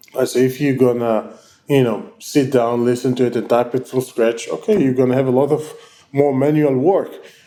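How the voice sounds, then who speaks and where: With an Israeli accent, a man speaks at a moderate pace and medium pitch with ordinary pitch variation, with noticeable background noise behind him. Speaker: tech company founder and CEO. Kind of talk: interview. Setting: online call. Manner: halting, many fillers.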